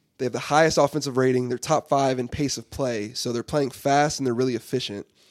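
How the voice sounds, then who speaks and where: The speaker has an unremarkable speaking voice and an American accent, with fairly even intonation at a fairly quick pace. The sound is dry and close, with no echo. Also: man. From Texas, Dallas. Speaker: college basketball player and podcast host. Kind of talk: casual chat.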